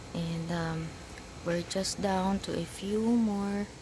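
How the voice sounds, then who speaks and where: A woman speaks at a very slow pace. The sound is dry with no echo, and there is noticeable background noise. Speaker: vlogger. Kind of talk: casual talk to camera. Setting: outdoors. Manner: muffled, ASMR-style. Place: garden. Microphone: phone near.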